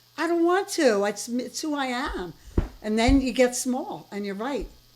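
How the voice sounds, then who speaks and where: A woman with an American accent, high pitch, very wide pitch swings and a fairly slow pace, over noticeable background noise. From US East Coast. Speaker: interviewer. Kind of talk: interview. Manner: loud; animated.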